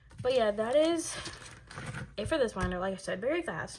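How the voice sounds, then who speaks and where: Noticeable background noise sits behind speech with lively intonation. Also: woman. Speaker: K-pop photocard collector vlogger. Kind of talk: casual video monologue, binder flip-through. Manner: fast; casual, with many fillers.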